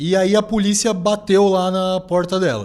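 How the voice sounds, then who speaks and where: This man speaks with a high pitch. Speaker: podcast host. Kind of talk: casual interview.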